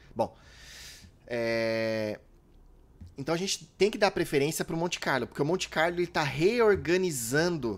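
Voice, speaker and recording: A man's fairly high-pitched voice with very wide pitch swings, in a very clean recording with a silent background. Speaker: trading strategy educator. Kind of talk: tutorial. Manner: casual, conversational.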